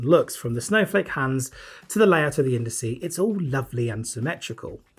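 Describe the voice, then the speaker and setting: Lively intonation, a somewhat breathy voice and a moderate pace. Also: man. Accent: British. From Britain. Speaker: watch reviewer. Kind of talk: product review. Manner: casual, conversational.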